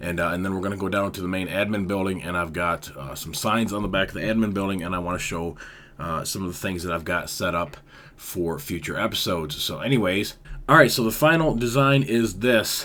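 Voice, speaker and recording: The tone is bright and sharp, the pace fairly quick. Pitch varies in an ordinary way, and the room echo is audible. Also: man, very deep, low pitch for a man. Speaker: Minecraft YouTuber. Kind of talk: gameplay tutorial commentary. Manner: casual, filler-heavy.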